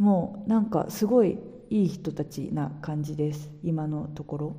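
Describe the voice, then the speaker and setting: A woman's dark, mellow, somewhat breathy voice at a fairly slow pace. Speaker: podcaster. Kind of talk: casual monologue.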